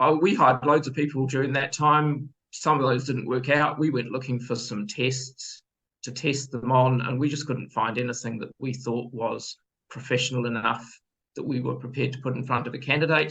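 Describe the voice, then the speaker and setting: Speaking with a New Zealand accent, a man talks at a moderate pace and medium pitch with fairly even intonation. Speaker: business owner, former accountant. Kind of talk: sales pitch.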